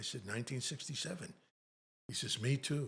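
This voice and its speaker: The man talks at a very fast pace. His voice is somewhat breathy. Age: 80s+. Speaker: Navy Vietnam veteran. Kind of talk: casual chat.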